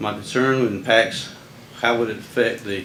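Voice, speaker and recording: There is audible room echo and noticeable background noise as a man with an American accent speaks at a fairly slow pace and a medium pitch. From US South. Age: 70s. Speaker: resident speaking at public comment. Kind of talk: public comment statement. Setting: county board meeting. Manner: formal.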